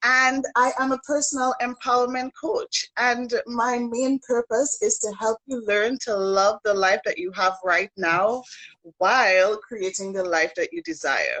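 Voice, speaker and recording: A dry, close sound with no echo, and a slight Trinidadian accent. The pace is fairly slow, with lively intonation. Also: woman, high pitch for a woman. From Trinidad and Tobago. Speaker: personal empowerment coach. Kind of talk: interview. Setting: online live stream.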